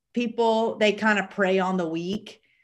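A woman with a Southern US accent, medium in pitch, at a fairly slow pace. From US South. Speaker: podcast co-host. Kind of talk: casual chat.

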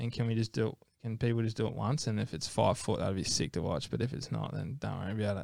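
Speech in an Australian accent comes at a very fast pace, with lively intonation and vocal fry. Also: man, fairly low pitch for a man. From Australia, Gold Coast. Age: 20s. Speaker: professional ocean athlete. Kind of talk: casual interview. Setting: studio.

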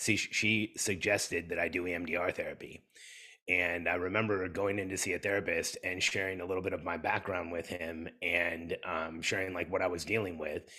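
A man's very deep, low voice with a bright, sharp tone, monotone and flat intonation, and a fairly quick pace, in a very clean recording with a silent background. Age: 50s. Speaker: entrepreneur and business coach. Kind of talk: interview conversation.

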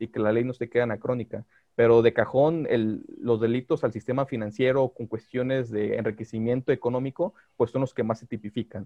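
At a fairly quick pace, a man speaks in an ordinary speaking voice with a medium pitch. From Mexico, Guadalajara. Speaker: lawyer specializing in digital law. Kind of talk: podcast interview.

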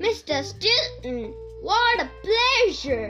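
Clear music plays behind a put-on character voice. The voice is raised and projected. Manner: loud booming, bellowing.

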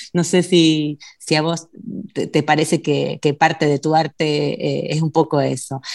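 A woman's very deep, low voice with a Rioplatense accent, vocal fry, monotone, flat intonation, and a fairly slow pace. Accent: Argentine Spanish (rioplatense, voseo). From Argentina. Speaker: radio host. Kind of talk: casual radio interview. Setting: remote call.

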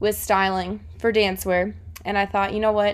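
Here a woman uses a plain, everyday voice at medium pitch and a moderate pace. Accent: American. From South Florida. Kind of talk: casual podcast monologue.

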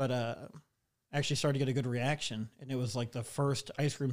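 In a very clean recording with a silent background, a man has a normal speaking voice at a medium pitch. He keeps a fairly quick pace with fairly even intonation. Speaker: stand-up comedian. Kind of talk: casual chat. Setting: studio.

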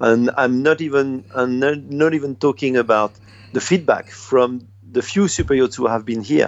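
Speaking in a French accent, a man talks at a moderate pace in a medium pitch. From France. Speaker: dive expedition operator. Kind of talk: interview. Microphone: delay on the line.

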